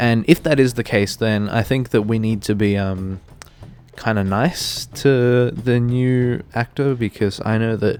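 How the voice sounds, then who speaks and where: Over music in the background, a man speaks at a fairly slow pace, medium pitch and fairly even intonation. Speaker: gaming YouTuber. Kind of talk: casual commentary video. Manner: hesitant, many fillers.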